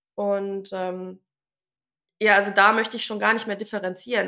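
With a bright, sharp tone, a woman talks at a moderate pace in a fairly high pitch. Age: 20s. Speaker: tradeswoman and social media creator. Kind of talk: interview.

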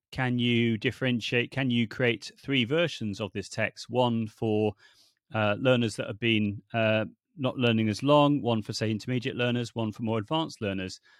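In a British accent, a man with a medium pitch speaks at a moderate pace, the sound dry and close with no echo against a quiet background. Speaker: language teaching technology consultant. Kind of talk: casual interview chat. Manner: animated, passionate.

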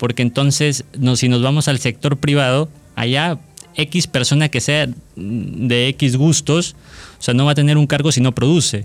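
Using a plain, everyday voice, a man speaks at a fairly high pitch and fairly slow pace, with fairly even intonation and very even loudness. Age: 20s. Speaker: law student. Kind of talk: casual chat.

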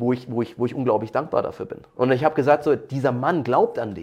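At a fairly quick pace, a man with ordinary pitch variation speaks in an unremarkable speaking voice. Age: 30s. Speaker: martial arts coach, former pro MMA fighter. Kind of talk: interview.

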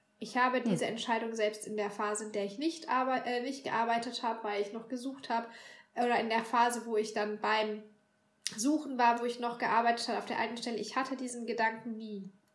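A woman speaks at a fairly quick pace with a fairly high pitch and fairly even intonation. Some room echo is audible. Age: 30s. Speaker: bookshop worker. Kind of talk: casual chat.

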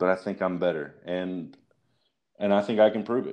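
Over a quiet background, a man speaks at a moderate pace in a very deep, low voice with ordinary pitch variation. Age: 30s. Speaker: online wrestling roleplay writer. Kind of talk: interview.

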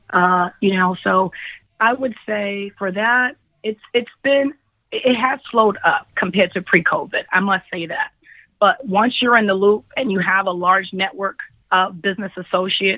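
Medium-pitched woman with a New York accent, ordinary pitch variation and a moderate pace. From Brooklyn, New York. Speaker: field accounts manager. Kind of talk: interview.

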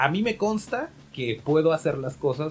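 Here a man speaks with lively intonation. His voice is somewhat breathy. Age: 30s. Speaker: podcast host. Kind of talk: casual chat.

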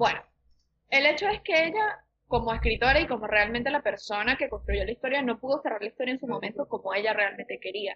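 With lively intonation, a woman talks at a fairly quick pace in a high pitch. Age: 20s. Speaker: podcaster. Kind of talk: casual chat.

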